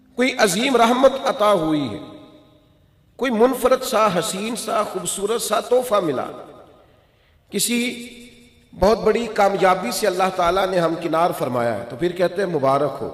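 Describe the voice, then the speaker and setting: Noticeable background noise surrounds a man whose high-pitched voice carries lively intonation. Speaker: Islamic preacher. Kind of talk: religious sermon (bayan). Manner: emotional, fervent, passionate preaching.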